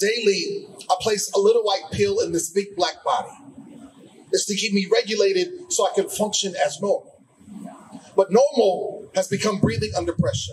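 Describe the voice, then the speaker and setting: Noticeable background noise is present throughout. The speaking pace is moderate. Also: man. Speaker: slam poet. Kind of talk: poetry slam performance.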